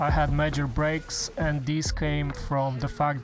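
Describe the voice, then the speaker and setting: With music playing in the background, the speaker talks at a fairly slow pace with a non-native accent. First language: not English. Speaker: gaming YouTuber. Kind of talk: scripted voiceover. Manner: non-fluent.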